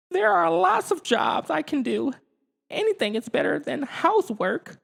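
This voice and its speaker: Using a put-on character voice, the speaker holds a fairly high pitch at a moderate pace. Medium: read story. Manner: cheeky, self-pitying.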